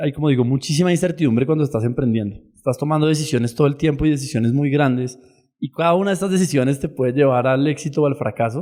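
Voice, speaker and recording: A man with a dark, mellow tone speaks at a fairly high pitch. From Colombia. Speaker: startup founder. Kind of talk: podcast interview.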